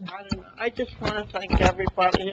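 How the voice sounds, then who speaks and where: A woman with an American accent speaks at medium pitch and a moderate pace. Noticeable background noise is present. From northern New Jersey. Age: old. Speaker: honoree. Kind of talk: thank-you remarks. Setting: council meeting.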